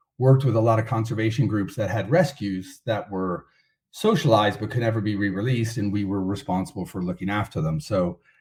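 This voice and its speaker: A man with an American accent speaks at a fairly quick pace and medium pitch, with ordinary pitch variation. His tone is dark, mellow and somewhat breathy, on a very clean recording with a silent background. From United States. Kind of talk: podcast interview.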